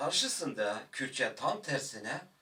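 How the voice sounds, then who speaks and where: Speaking at a very slow pace, a man talks with a Kurdish accent. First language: Kurdish (speaking Turkish). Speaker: Kurdish language teacher. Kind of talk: video lecture. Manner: hesitant, with filler sounds.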